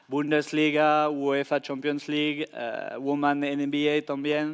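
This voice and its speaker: A man with a French accent speaks in a fairly high voice. His pace is very slow. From France. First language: French (speaking Spanish). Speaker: tech company sports data specialist. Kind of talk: conference panel answer. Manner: halting, with fillers and restarts.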